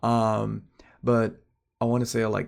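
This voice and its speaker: A soft-spoken man at a fairly slow pace on a very clean recording with a silent background. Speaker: amateur artist vlogger. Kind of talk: casual vlog monologue. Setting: at home at night. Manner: soft-spoken, kept quiet for neighbors; halting, many fillers.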